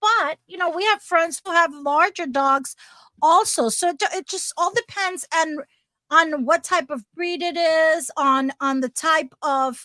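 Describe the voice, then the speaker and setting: A raised, projected voice with a bright, sharp tone and ordinary pitch variation comes at a fairly slow pace, dry and close with no echo, on a very clean recording with a silent background. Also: woman, extremely high pitch for a woman. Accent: New Jersey. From New Jersey. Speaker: RV lifestyle channel co-host. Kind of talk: casual chat.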